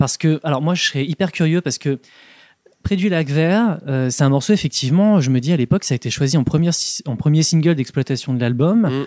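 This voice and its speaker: A man with a fairly high pitch and a dark, mellow tone talks at a fairly quick pace in a dry, close sound with no echo. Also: ordinary pitch variation. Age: 30s. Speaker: music fan guest. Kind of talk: casual chat.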